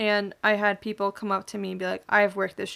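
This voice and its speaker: This very clean recording has a silent background. In it, a woman speaks at a fairly quick pace. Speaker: podcast host. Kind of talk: casual solo podcast monologue.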